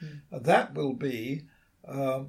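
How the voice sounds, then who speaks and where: A man's fairly high-pitched voice with vocal fry, in a British accent. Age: 80s+. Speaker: radio astronomer and author. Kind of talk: interview.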